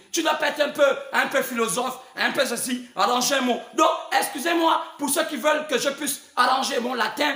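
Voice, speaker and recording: A man's extremely high pitch, fairly even intonation at a moderate pace, audible room echo, and noticeable background noise. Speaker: preacher. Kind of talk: sermon. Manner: halting, with many repetitions; spontaneous, not calm.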